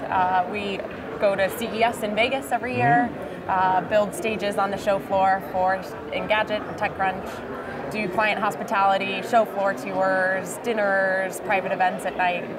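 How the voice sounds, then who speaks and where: A woman talks fairly slowly, with loud noise filling the background. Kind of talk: interview answer. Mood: cheerful, smiling. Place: hall. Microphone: lapel.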